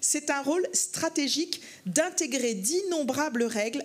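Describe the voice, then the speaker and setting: A woman's voice at a fairly slow pace, with very wide pitch swings. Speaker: banking federation executive. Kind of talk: panel discussion. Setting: conference stage with audience. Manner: hesitant, many fillers.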